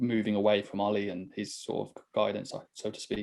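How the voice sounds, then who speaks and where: Against a quiet background, a man with a Birmingham accent speaks in a dark, mellow tone at a medium pitch. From Birmingham, England. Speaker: podcast host and racing driver. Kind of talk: casual chat.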